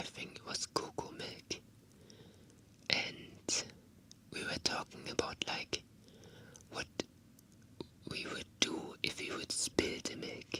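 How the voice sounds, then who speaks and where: Someone whispers at a very slow pace. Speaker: indie vtuber streamer. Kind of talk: whispered ASMR talk to camera, casual chat. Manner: whispered, soft-spoken.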